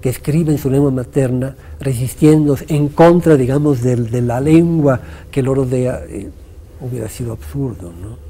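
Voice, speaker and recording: A man at a medium pitch with big swings in loudness, over noticeable background noise. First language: Italian (speaking Spanish). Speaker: poet and writer. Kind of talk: interview.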